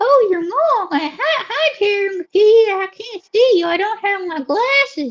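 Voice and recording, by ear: Using a put-on character voice in a Southern US accent, a woman speaks slowly at an extremely high pitch with lively intonation.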